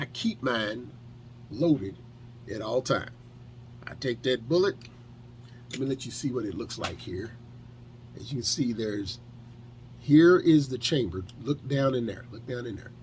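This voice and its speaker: A man with an American accent speaks at a moderate pace, medium in pitch with ordinary pitch variation and vocal fry. His loudness swings widely, and he leaves long, frequent pauses. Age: 50s. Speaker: firearms instructor and detailing video creator. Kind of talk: tutorial. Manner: casual, conversational with fillers.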